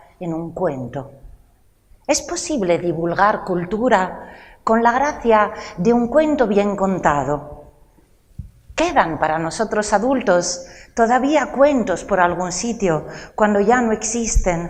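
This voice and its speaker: A woman speaks at a medium pitch and a very slow pace. Her pitch swings very widely. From Italy, Rome. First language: Italian (speaking Spanish). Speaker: lecturer and storyteller. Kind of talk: cultural talk to a live audience.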